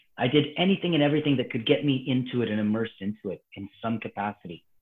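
A man in a Canadian accent, with an unremarkable speaking voice and ordinary pitch variation. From Calgary, Alberta, Canada. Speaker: martial arts instructor. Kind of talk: casual chat.

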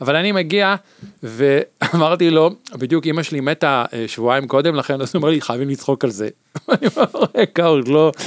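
With an unremarkable speaking voice, a man at a fairly high pitch uses lively intonation in a dry, close sound with no echo. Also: moderate pace. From Israel, Tel Aviv. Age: 50s. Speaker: podcast guest. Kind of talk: casual chat.

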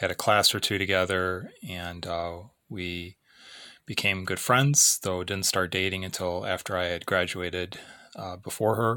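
A man's very deep, low voice carries a bright, sharp tone with fairly even intonation. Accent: American. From US Midwest, Illinois. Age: 40s. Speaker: podcast host, missionary. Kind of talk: solo podcast monologue, personal reflection. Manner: reflective, hesitant with filler words.

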